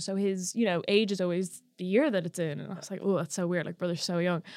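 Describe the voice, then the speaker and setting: The speaker is a woman. She has a plain, everyday voice. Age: 20s. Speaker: podcast co-host. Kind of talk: casual chat.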